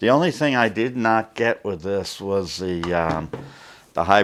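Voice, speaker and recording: Here a man speaks at a fairly slow pace. His pitch varies in an ordinary way. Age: 60s. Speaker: camera reviewer. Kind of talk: unboxing review. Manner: halting, many fillers; casual.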